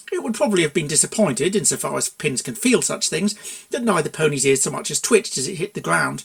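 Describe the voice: What you hear is text being read aloud plainly.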